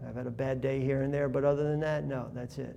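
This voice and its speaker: Amid audible room echo, a man speaks at a medium pitch with a dark, mellow tone and fairly even intonation. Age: 60s. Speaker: artist. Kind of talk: interview. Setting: art gallery. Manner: rambling, conversational.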